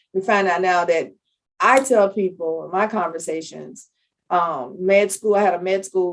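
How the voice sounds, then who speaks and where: A woman's voice at a medium pitch, with fairly even intonation and an unremarkable speaking voice. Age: 60s. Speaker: public health analyst. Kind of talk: podcast interview.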